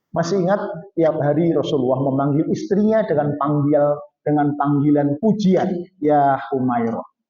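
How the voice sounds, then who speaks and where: Audible room echo surrounds a man speaking in an animated tone at a fairly high pitch. He keeps a moderate pace and ordinary pitch variation. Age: 60s. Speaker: Islamic preacher. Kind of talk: sermon.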